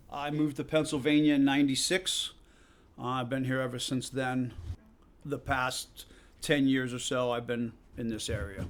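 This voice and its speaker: A man with a slight Massachusetts accent speaks in a fairly even intonation, leaving long, frequent pauses. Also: medium pitch for a man, moderate pace. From Massachusetts, near Worcester. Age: 50s. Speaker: off-road park owner. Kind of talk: interview.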